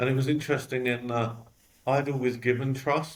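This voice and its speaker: A man with a London accent speaks at a medium pitch and moderate pace in a monotone, flat intonation. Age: 40s. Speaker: company executive. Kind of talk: interview.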